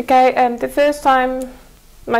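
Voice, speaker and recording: This woman has a Mongolian accent and a high pitch. She speaks at a moderate pace. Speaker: former student abroad. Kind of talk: TV interview. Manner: halting.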